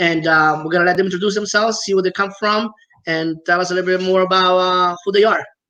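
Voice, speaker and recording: The speaker talks very fast with an Italian accent. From Italy. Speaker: podcast host. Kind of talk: interview.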